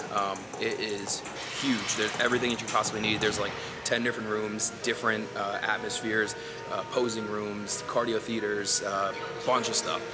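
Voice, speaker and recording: The voice moves at a moderate pace over loud music in the background. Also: man. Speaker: fitness vlogger. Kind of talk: casual vlog chat. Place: gym. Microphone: phone near.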